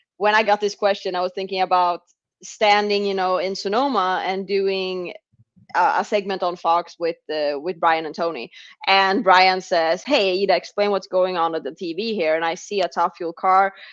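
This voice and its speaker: A woman's medium-pitched voice keeps fairly even intonation at a moderate pace. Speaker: drag racer. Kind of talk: interview.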